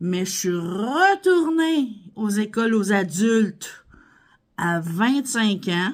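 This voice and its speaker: In a Quebec accent, a woman talks very slowly at a fairly high pitch, her voice making very wide pitch swings. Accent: Québécois French. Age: 40s. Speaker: vlogger, stay-at-home mom. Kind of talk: casual Q&A vlog. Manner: animated.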